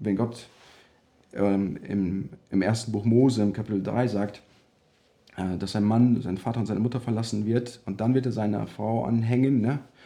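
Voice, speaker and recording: At a fairly slow pace, a man with a dark, mellow tone and fairly low pitch speaks with fairly even intonation and long, frequent pauses. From Germany, Russian-German background. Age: 30s. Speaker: pastor. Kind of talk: interview.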